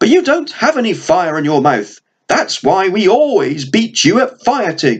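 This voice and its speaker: The man uses a put-on character voice, pitched high and swinging very widely. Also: moderate pace. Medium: read story.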